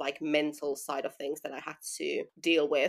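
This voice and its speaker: A woman's very deep, low voice in a Finnish accent, monotone and flat, at a fairly quick pace. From Finland. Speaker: running brand founder. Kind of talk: interview.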